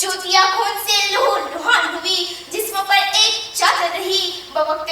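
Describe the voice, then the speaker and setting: Over noticeable background noise, a woman projects a raised voice at an extremely high pitch with ordinary pitch variation. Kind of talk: formal religious speech to an audience. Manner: emotional, declamatory.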